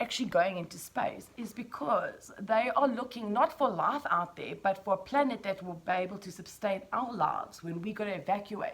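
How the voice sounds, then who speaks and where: Noticeable background noise sits behind a woman speaking at a moderate pace, her fairly high voice full of lively intonation. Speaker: vlogger. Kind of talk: casual vlog monologue. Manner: animated.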